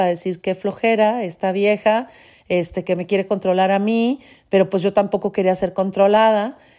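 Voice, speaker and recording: On a very clean recording with a silent background, a woman's dark, mellow tone sits at a medium pitch with fairly even intonation. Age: 40s. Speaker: podcaster. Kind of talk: personal monologue.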